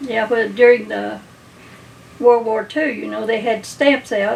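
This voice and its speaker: A woman with an Appalachian accent speaks at a fairly slow pace in a fairly high pitch, her intonation monotone and flat. Long, frequent pauses break up her speech, and noticeable background noise runs underneath. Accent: Appalachian Kentucky. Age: 80s+. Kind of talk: interview answer.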